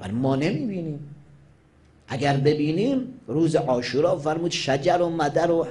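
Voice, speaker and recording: A man speaks very slowly at a fairly high pitch, his intonation lively. His tone is dark and mellow. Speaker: Shia cleric; cleric preacher. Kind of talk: religious sermon. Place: hall. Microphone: podium.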